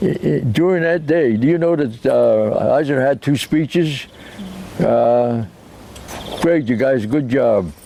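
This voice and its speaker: A man speaks at a fairly slow pace with a medium pitch, an American accent and lively intonation over noticeable background noise. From US Northeast, Rhode Island. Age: 80s+. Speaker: war veteran. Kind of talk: interview testimony. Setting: outdoors. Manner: halting.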